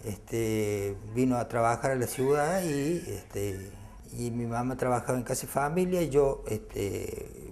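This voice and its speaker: Fairly slow speech with audible room echo. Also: man. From Argentina, Córdoba. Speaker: former worker, union activist. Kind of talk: testimony.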